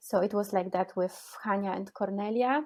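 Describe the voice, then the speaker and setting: A woman with a Polish accent speaks at a medium pitch and a fairly slow pace. The background is quiet. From Poland. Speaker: cellist and composer. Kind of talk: interview. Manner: halting.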